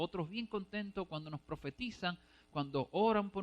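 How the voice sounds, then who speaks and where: A man is speaking with ordinary pitch variation. The sound is dry and close, with no echo. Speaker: preacher. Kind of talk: sermon. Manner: fast.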